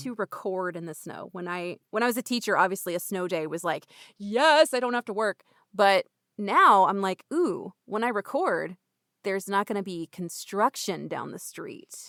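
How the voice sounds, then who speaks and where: In a very clean recording with a silent background and a dry, close sound with no echo, a woman with an unremarkable speaking voice talks at a medium pitch and moderate pace, using lively intonation and big swings in loudness. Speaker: audiobook narrator and voice actor. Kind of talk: casual podcast conversation.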